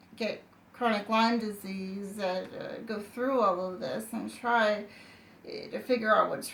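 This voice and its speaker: A woman's fairly high voice amid noticeable background noise. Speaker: person with chronic illness telling her story. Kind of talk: personal testimony. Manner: halting, many fillers and restarts.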